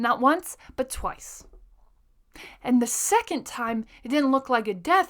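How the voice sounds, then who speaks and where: A woman's raised, projected, high-pitched voice, bright and sharp in tone and animated, with very wide pitch swings at a fairly slow pace, on a very clean recording with a silent background. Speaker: podcast host. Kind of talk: motivational monologue. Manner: loud.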